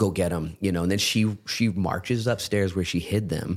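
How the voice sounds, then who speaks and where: A man speaks with a very deep, low pitch at a moderate pace. His intonation is fairly even, and the recording is very clean with a silent background. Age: 40s. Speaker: pastor. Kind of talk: casual chat. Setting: studio.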